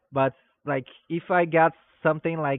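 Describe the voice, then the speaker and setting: A man talks with a non-native accent. His intonation stays fairly even. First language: not English. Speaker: stream host. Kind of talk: interview. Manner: halting, with fillers.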